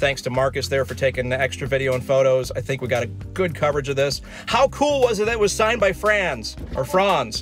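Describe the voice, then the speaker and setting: A man at a fairly quick pace, dry sound with no echo, faint music in the background. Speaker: channel host. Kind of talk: casual vlog chat. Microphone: phone near.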